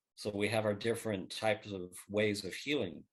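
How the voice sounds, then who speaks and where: Here is a man with a fairly low-pitched voice. He talks at a fairly quick pace. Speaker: book co-author. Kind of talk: interview. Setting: podcast. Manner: soft-spoken.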